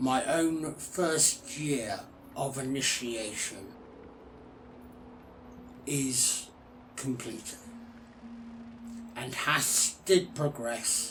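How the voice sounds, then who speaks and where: Against clear background noise, a man does a put-on character voice at medium pitch, speaking at a very slow pace with long, frequent pauses. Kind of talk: ASMR character roleplay.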